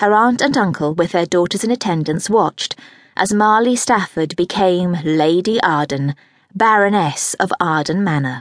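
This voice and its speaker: In a quiet setting with a dry, close sound and no echo, a woman with an unremarkable speaking voice talks at a moderate pace, her medium pitch carrying lively intonation at very even loudness. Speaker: audiobook narrator. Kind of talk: dramatic audiobook narration of a historical romance, read aloud. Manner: expressive and measured, with a storyteller's flow.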